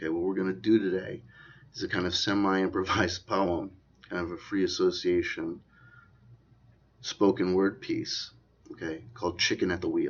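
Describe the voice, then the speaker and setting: Long, frequent pauses break up this man's speech. Otherwise he keeps a moderate pace. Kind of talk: casual talk to camera.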